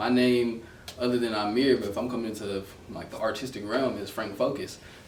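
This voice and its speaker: In an American accent, a man speaks at a medium pitch with fairly even intonation, amid noticeable background noise and audible room echo. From New Jersey (Trenton). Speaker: photographer. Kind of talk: interview.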